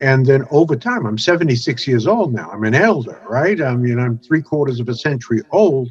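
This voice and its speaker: A man speaks at a moderate pace with lively intonation and a medium pitch. His voice is somewhat breathy. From US Northeast, Brooklyn, New York. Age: 70s. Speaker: networking expert and author. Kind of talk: interview testimony. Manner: frequent fillers and hesitations.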